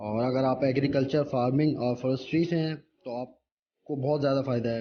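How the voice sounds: Moderate pace and fairly even intonation, with audible room echo. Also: man, medium pitch for a man.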